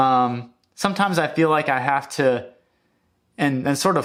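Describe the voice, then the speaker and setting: Mumbling from a man at medium pitch and a fairly slow pace, on a very clean recording with a silent background. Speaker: music YouTuber. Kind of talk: casual vlog monologue. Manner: halting, many fillers and restarts.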